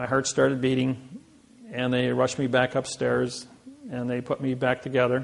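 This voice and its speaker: In a Midwestern American accent, a man speaks with monotone, flat intonation. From US Midwest, Indiana. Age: 60s. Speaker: seminar speaker. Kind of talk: seminar lecture.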